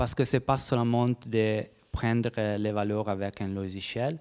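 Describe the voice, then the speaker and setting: A man speaks with a non-native accent at a medium pitch and a fairly slow pace, his intonation fairly even. The recording is very clean, with a silent background and a dry, close sound with no echo. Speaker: researcher presenting at a workshop. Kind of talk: conference presentation and Q&A. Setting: conference room with audience. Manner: halting, many hesitations and repetitions.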